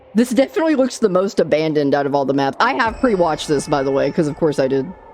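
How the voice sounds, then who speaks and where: Over noticeable background noise, a woman with a very deep, low pitch speaks at a very fast pace, her pitch swinging very widely. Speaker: gaming YouTuber. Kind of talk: casual gaming commentary to camera. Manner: casual, filler words.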